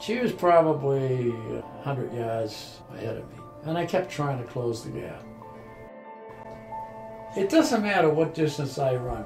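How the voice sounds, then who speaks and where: Over background music, a man with a fairly high pitch talks at a fairly slow pace, with lively intonation, big swings in loudness and long, frequent pauses. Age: 80s+. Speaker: ultra runner and snowshoe racer. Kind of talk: interview answer.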